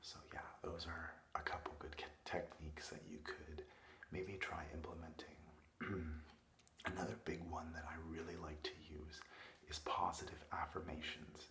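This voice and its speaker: Speech moves at a fairly slow pace with long, frequent pauses. Noticeable background noise is present. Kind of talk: ASMR roleplay. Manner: soft-spoken, caring.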